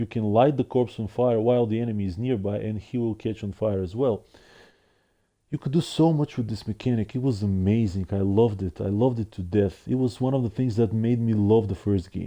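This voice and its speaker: The man's voice is dark, mellow and fairly low, with a non-native accent. He talks at a fairly quick pace with ordinary pitch variation. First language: not English. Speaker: gaming streamer. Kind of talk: casual monologue review. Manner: halting with repetitions.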